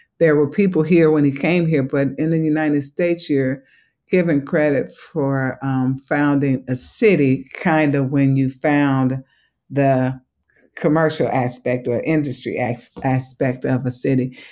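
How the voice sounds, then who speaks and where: On a very clean recording with a silent background, a woman speaks fairly slowly in a very deep, low pitch and a dark, mellow tone, with fairly even intonation. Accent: slight Southern US. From Chicago. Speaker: museum education executive. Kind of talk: interview.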